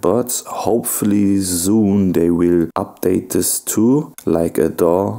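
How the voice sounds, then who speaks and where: Speaking at a very slow pace, a man keeps ordinary pitch variation. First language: not English. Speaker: music producer. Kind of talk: tutorial.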